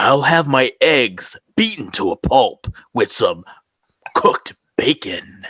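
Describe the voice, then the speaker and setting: A man's put-on character voice, dramatic and serious in tone, at a fairly slow pace. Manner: dramatic, overly serious.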